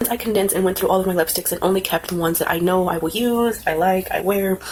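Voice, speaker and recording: Over noticeable background noise, this woman's voice holds a medium pitch and fairly even intonation. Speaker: beauty vlogger. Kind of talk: casual vlog tutorial. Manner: casual, filler words.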